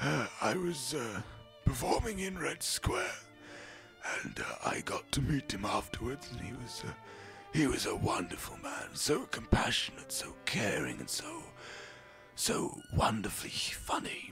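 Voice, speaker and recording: Over clear background music, a man performs a put-on character voice at a moderate pace. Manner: hesitant, slow.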